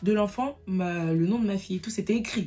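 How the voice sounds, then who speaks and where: A medium-pitched woman's voice with music in the background. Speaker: youtuber. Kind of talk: storytime testimony. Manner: stutters when upset; emotional, unscripted.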